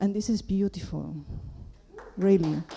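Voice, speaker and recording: A woman speaks at a moderate pace, her medium pitch rising and falling in an ordinary way. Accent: Spanish. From Peru. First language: Spanish. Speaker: audience member asking a question. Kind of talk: Q&A question from the floor. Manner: halting.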